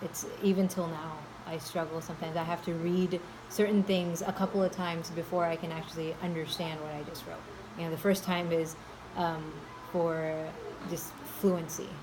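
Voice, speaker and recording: Over noticeable background noise, a woman speaks at a moderate pace in a fairly low, monotone and flat voice. Long, frequent pauses break up her speech. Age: adult. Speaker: school staff member. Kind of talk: interview. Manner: halting.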